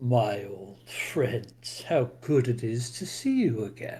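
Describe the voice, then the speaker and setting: A man's put-on character voice at medium pitch and very slow pace. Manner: warm, friendly, greeting old friends.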